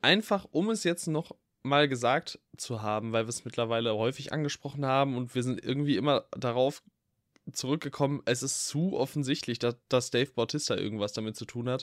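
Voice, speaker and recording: On a very clean recording with a silent background and a dry, close sound with no echo, a man with a plain, everyday voice speaks at a fairly quick pace, medium pitch and ordinary pitch variation. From Ruhr area, Germany. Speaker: film podcast co-host. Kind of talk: casual chat.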